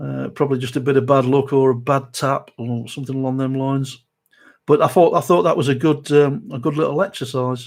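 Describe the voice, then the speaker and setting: Speaking with a South Derbyshire accent, a man keeps a fairly quick pace and fairly even intonation. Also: medium pitch for a man. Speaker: model restoration youtuber. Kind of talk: live stream chat. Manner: hesitant, many fillers.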